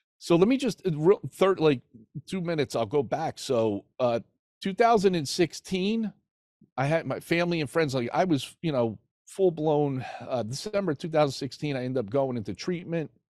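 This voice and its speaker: A man with a New Jersey accent, fairly high pitch and lively intonation, in a dry, close sound with no echo. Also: moderate pace. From New Jersey, NYC area. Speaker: recovery podcast host, former prisoner. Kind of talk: personal testimony in interview.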